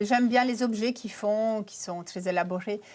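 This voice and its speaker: The recording of this woman is very clean, with total silence in the background. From Canada. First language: not French (speaking French). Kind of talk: TV interview. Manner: hesitant, many fillers.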